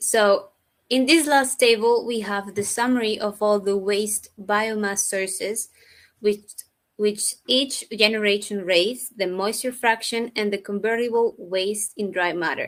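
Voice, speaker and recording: At a fairly slow pace, a woman with a plain, everyday voice speaks at a fairly high pitch with fairly even intonation. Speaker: researcher. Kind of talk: conference presentation. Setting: virtual event.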